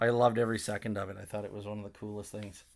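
A man has an unremarkable speaking voice with a Canadian accent. His pitch is fairly low, with ordinary variation. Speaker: podcast host. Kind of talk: angry rant, profane and sweary, unscripted. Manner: rapid, heated, loud, swearing and stumbling over repeated words; sarcastic, blunt, rambling, ad-libbed.

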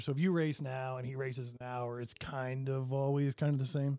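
Speaking with an American accent, a man with a normal speaking voice talks at a fairly high pitch and fairly quick pace on a very clean recording with a silent background. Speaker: podcast host. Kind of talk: casual chat. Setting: studio.

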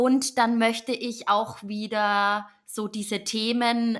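On a very clean recording with a silent background, a woman's fairly high voice has a bright, sharp tone and fairly even intonation. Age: 30s. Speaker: podcast host and yoga teacher. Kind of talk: solo podcast intro monologue.

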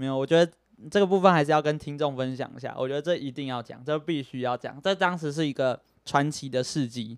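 A man with a Taiwanese accent talks at a very fast pace. His pitch is fairly high, with ordinary variation. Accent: Taiwanese Mandarin. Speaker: podcast host. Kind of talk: casual chat. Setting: home recording with microphones. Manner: animated.

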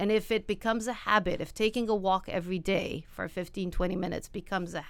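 A woman's ordinary speaking voice at medium pitch and fairly quick pace, with ordinary pitch variation. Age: 50s. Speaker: physical therapist. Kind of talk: interview. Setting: studio.

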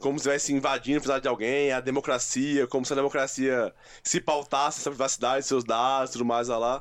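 A man at a very fast pace, flat and monotone, his loudness very even. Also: medium pitch for a man. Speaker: podcast co-host. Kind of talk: casual chat.

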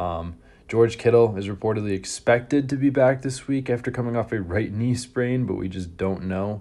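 Dark, mellow tone from a man at a moderate pace against a quiet background. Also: medium pitch for a man, ordinary pitch variation. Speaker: fantasy football podcast host. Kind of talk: solo podcast commentary. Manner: casual, filler-heavy.

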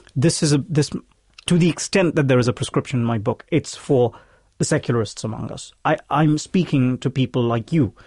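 A somewhat breathy man with a fairly high pitch and a fairly quick pace, in a dry, close sound with no echo. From India, Hyderabad. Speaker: author. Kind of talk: interview. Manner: animated.

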